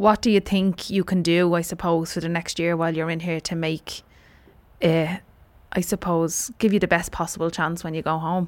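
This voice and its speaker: A woman's fairly low-pitched voice with an Irish accent, flat and monotone at a moderate pace, in a very clean recording over a silent background. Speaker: podcast host and interviewer. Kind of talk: interview and narration.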